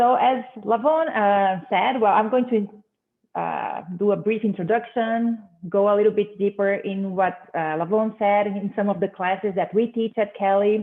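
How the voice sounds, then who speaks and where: In a Portuguese accent, a woman speaks at a fairly slow pace and medium pitch, with ordinary pitch variation and hardly any pauses. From Brazil. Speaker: business professor. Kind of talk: conference presentation. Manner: hesitant, many fillers.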